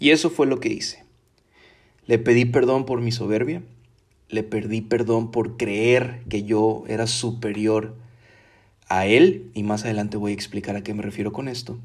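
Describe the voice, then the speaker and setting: A man speaks at a fairly slow pace with long, frequent pauses. His voice sits at a medium pitch with fairly even intonation. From Mexico (Veracruz, Tabasco). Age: 30s. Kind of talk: personal testimony and religious reflection. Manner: casual, with filler hesitations.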